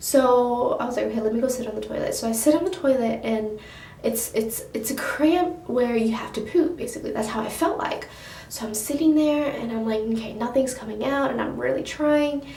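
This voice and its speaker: A soft-spoken woman with a high pitch is heard amid noticeable background noise and audible room echo. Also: ordinary pitch variation, fairly quick pace. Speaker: beauty vlogger. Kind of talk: casual storytelling vlog. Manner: rambling, hesitant.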